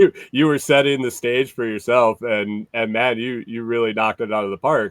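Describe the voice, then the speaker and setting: A man with a normal speaking voice talks at a moderate pace. His medium pitch holds a fairly even intonation. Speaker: podcast host. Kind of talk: podcast host interview.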